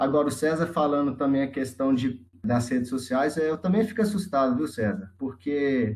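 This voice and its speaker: Somewhat breathy, a man with a Minas Gerais accent talks at a moderate pace with ordinary pitch variation. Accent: Brazilian Portuguese, Minas Gerais (mineiro). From Sete Lagoas, Minas Gerais, Brazil. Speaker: geography student. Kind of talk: casual discussion.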